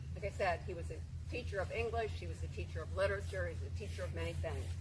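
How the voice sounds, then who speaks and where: A woman's very fast, very deep and low voice, somewhat breathy and monotone, with audible room echo. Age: 70s. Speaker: family member giving eulogy. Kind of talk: memorial eulogy.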